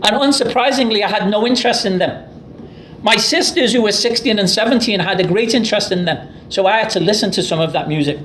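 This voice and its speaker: A man with an English accent talks at a very fast pace in a high pitch, his loudness very even and his pitch variation ordinary, with audible room echo and noticeable background noise. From Liverpool, England. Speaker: professor. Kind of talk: lecture.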